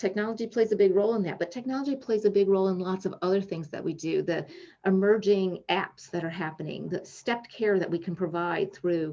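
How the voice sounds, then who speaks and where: A woman talks fairly quickly at medium pitch with ordinary pitch variation. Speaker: psychologist and invited speaker. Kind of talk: lecture. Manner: fast.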